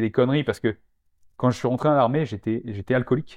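A man talks at a medium pitch. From rural France. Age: 40s. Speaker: naturopath and former soldier. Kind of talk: casual interview. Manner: animated.

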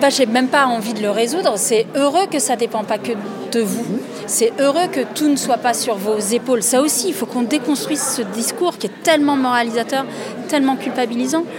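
A woman speaks at a high pitch and a moderate pace, with ordinary pitch variation. Music plays in the background and the room echo is audible. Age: 40s. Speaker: writer and documentary filmmaker. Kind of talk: conference talk.

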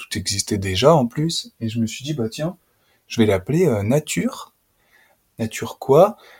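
Recorded dry and close with no echo, a man with a medium pitch speaks somewhat breathily at a fairly slow pace, leaving long, frequent pauses as his pitch swings very widely. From France, Auvergne (Puy-de-Dôme). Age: 30s. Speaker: nature educator. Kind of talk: casual interview conversation. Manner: hesitant, many fillers.

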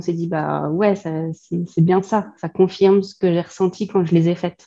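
A woman's fairly low-pitched voice, dark and mellow in tone, with monotone, flat intonation. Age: 30s. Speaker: student of an interior design course. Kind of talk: casual chat.

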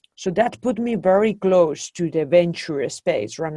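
A woman with a slight Spanish accent speaks at a fairly low pitch with a dark, mellow tone. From Spain. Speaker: venture capital investor. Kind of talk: interview. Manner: hesitant with many fillers.

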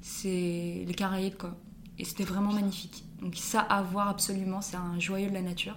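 A woman talks at a moderate pace and medium pitch with monotone, flat intonation, over noticeable background noise and audible room echo. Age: 20s. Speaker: student teacher. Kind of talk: casual interview.

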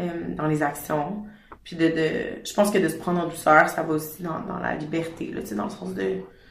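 Over noticeable background noise and audible room echo, a woman talks at a moderate pace with a very deep, low pitch, very wide pitch swings and big swings in loudness. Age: 20s. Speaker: fashion brand founder. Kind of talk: casual interview. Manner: hesitant, many fillers.

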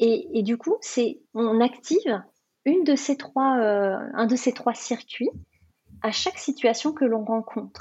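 Speaking at a very slow pace, a woman uses a high pitch and lively intonation with very even loudness. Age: 40s. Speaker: life coach. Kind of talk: interview. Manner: halting.

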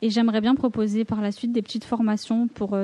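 A woman talks in a flat monotone with a dark, mellow tone, recorded dry and close with no echo. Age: 20s. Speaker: graphic designer and student entrepreneur. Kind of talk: casual discussion.

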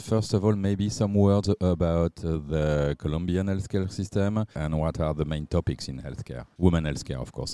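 Dry and close with no echo, a man with a French accent speaks at a moderate pace in a very deep, low, dark and mellow voice, showing ordinary pitch variation and hardly any pauses. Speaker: podcast host. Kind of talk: interview.

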